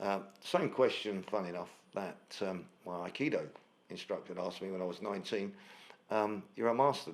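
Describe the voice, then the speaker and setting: A man speaks with a London accent. His pitch is fairly low. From South London. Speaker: financial analyst and martial artist. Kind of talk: podcast interview. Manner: halting, many fillers.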